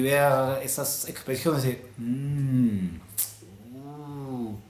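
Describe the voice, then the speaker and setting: A man in a Peruvian accent, with noticeable background noise. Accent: Peruvian Spanish (Lima). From Lima, Peru. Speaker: vlogger. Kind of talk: casual talk to camera.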